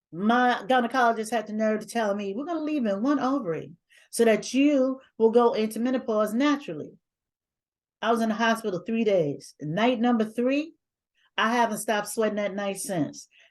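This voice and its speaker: This woman has a fairly high pitch and ordinary pitch variation. She talks at a moderate pace. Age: 60s. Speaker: doula and public speaker. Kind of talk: interview conversation. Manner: animated.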